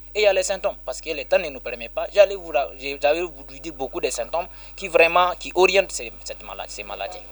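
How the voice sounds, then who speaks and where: Big swings in loudness at a fairly quick pace. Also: man. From Niger (Balayara). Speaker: Islamic healer and NGO director. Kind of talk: radio interview. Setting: on location.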